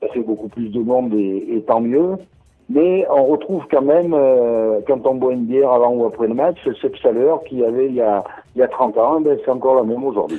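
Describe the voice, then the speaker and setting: Here a man speaks at a medium pitch. He moves at a fairly quick pace with ordinary pitch variation. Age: 60s. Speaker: rugby supporter, retiree. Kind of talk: interview. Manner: hesitant, many fillers.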